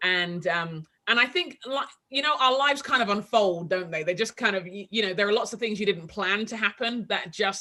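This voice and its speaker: A woman's bright, sharp voice in a strong London accent, medium in pitch with ordinary pitch variation, at a moderate pace. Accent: heavy London English. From London, England. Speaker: author and leadership coach. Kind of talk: casual interview. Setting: video call.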